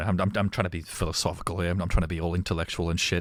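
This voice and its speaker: Recorded very cleanly against a silent background, a very deep, low male voice, dry and close with no echo. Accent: Australian. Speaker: streamer. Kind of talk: gameplay livestream commentary. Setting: livestream. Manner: casual, halting.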